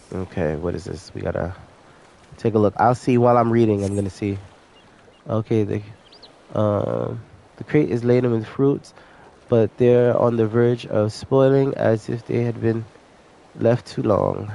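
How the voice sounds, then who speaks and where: There is noticeable background noise behind a man of medium pitch with ordinary pitch variation. He keeps a moderate pace but takes long, frequent pauses. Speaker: gaming streamer. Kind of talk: gameplay commentary with reading dialogue aloud. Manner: casual, with hesitations.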